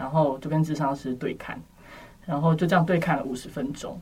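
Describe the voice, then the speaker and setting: A somewhat breathy, fairly low-pitched woman's voice. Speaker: university student. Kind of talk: casual chat.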